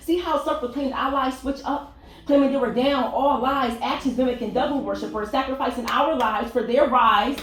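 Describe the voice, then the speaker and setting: A woman speaks in a high voice with an American accent. Her recording has audible room echo and noticeable background noise. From Richmond, Virginia. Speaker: spoken word poet. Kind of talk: spoken word poetry performance. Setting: stage with audience.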